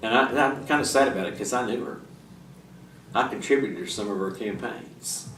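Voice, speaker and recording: In an Arkansas accent, a man talks at a fairly quick pace with ordinary pitch variation and long, frequent pauses, and audible room echo can be heard. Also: medium pitch for a man. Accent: Southern US (Arkansas). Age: 60s. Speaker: civics teacher and local politician. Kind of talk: lecture with Q&A. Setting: public library classroom. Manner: halting, many fillers and restarts.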